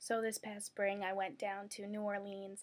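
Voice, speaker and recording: With a Brooklyn accent, a woman talks at a fairly quick pace in a monotone, flat intonation. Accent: New York (Brooklyn). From Brooklyn, New York. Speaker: university student. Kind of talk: candidate video statement.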